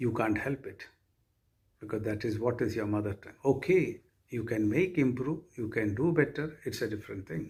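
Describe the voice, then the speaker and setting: A man talks at a moderate pace in a medium pitch. His voice is somewhat breathy. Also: lively intonation. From Kerala, South India. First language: Malayalam. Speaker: university vice chancellor. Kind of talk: orientation speech. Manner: formal.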